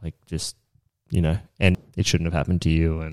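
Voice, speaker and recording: A man speaks with an Australian accent and a very deep, low pitch. His tone is dark and mellow, with fairly even intonation. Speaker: business owner and construction manager. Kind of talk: casual interview chat.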